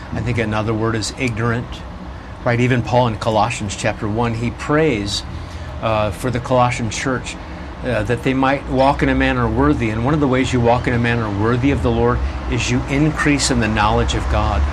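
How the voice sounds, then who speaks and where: Noticeable background noise sits behind a man of medium pitch who speaks at a fairly quick pace with lively intonation. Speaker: pastor and radio host. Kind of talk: casual chat. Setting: outdoors.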